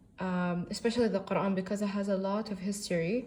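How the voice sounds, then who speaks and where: This voice has a dark, mellow tone, somewhat breathy, with an Arabic accent. It moves at a moderate pace with fairly even intonation. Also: woman. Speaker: book reviewer. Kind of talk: casual book review monologue. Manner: halting, many fillers.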